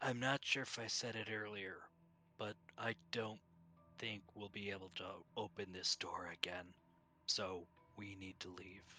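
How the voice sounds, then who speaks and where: A man's put-on character voice, fairly low, at a moderate pace with long, frequent pauses. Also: fairly even intonation. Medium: actual play. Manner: terse, matter-of-fact.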